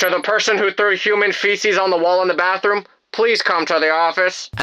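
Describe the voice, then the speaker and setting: At a middle pitch and a fairly quick pace, the speaker uses a put-on character voice. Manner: flat, joyless, bored.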